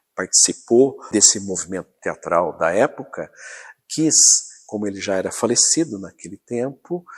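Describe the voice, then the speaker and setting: With an ordinary speaking voice, a man talks at a moderate pace and medium pitch, using lively intonation and big swings in loudness on a very clean recording with a silent background. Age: 60s. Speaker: local historian. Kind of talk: documentary interview.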